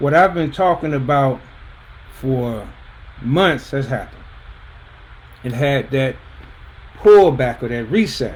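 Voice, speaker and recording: Over noticeable background noise, a man with a fairly high pitch speaks at a fairly slow pace, with long, frequent pauses. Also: ordinary pitch variation. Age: 60s. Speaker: personal finance coach. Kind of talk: livestream talk. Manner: casual, conversational.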